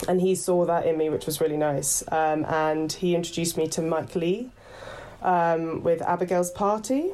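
In a southern English accent, a woman with a fairly low pitch and a dark, mellow tone keeps her loudness very even. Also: fairly even intonation, moderate pace. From west London, then Horsham (Sussex). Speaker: actor and headshot photographer. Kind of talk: casual interview chat. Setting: video call.

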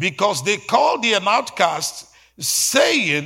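On a very clean recording with a silent background, a man projects a raised, high-pitched voice with a bright, sharp, animated tone and lively intonation. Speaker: pastor. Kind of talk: sermon. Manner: fervent, rhythmic preaching with call-and-response.

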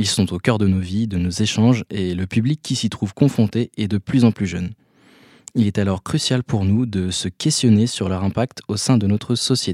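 A man talks at a moderate pace with a fairly low pitch and ordinary pitch variation in a plain, everyday voice. The recording is very clean with a silent background and a dry, close sound with no echo. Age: 20s. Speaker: communication student. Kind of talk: scripted narration. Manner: formal.

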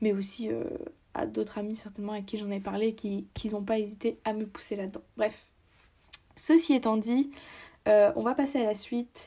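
A woman with a fairly high pitch and a dark, mellow tone speaks at a moderate pace, leaving long, frequent pauses. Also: ordinary pitch variation. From France. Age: 20s. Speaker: podcaster and university student. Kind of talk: casual solo podcast monologue. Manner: hesitant with many fillers.

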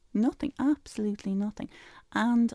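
Over a silent background in a very clean recording with a dry, close sound with no echo, a woman speaks with a Dublin accent. Her tone is dark and mellow, her pace moderate and her pitch variation ordinary. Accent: Dublin Irish. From Ireland, Dublin. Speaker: spiritual life coach and author. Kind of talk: radio interview. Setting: radio studio.

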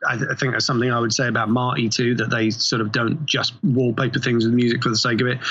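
Over noticeable background noise, a man at medium pitch talks very fast with hardly any pauses, in a monotone, flat delivery at very even loudness. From England. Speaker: TV composer. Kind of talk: interview. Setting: remote call.

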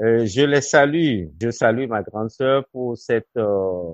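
In a dry, close recording with no echo, a man speaks at a very slow pace with lively intonation. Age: 60s. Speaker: education director. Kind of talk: interview.

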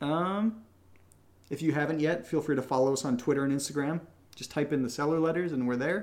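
A man in a plain, everyday voice talks at a fairly quick pace, his pitch fairly high and ordinarily varied. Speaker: podcast co-creator answering patron questions. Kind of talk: casual chat.

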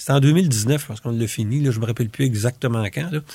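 A man's somewhat breathy voice, dark and mellow in tone, at a medium pitch with ordinary pitch variation, in a very clean recording with a silent background. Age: old. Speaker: retired family doctor and volunteer. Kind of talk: interview. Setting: studio. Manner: halting.

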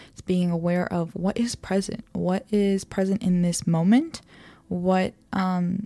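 Her tone is gentle, dark and mellow. The woman speaks at a fairly slow pace with fairly even intonation. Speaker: podcast host. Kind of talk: guided meditation; solo talk on self-awareness. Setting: home recording with headphones and microphone. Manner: slow, soft, calm and soothing; gentle, measured pacing with pauses.

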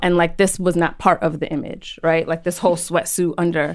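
A woman with a plain, everyday voice speaks at a fairly quick pace in an American accent, her pitch medium, on a very clean recording with a silent background. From New York City. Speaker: psychotherapist. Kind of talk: casual chat.

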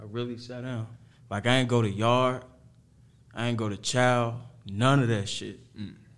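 A man's medium-pitched, monotone, flat delivery at a moderate pace, broken by long, frequent pauses, with audible room echo. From Harvey, Illinois (Chicago south suburbs). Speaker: rapper. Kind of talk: casual interview.

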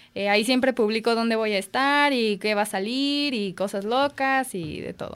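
A woman speaks in a normal speaking voice at a fairly high pitch and moderate pace, with hardly any pauses. Her pitch varies in an ordinary way on a very clean recording with a silent background. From Mexico, Guadalajara. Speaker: comedian and biologist. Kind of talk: casual chat. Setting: radio studio, live.

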